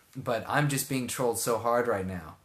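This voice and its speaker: With an American accent, a man of medium pitch speaks at a fairly slow pace with ordinary pitch variation, and audible room echo surrounds him. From Texas, Houston area. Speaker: live streamer. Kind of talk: casual chat. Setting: live stream. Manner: animated.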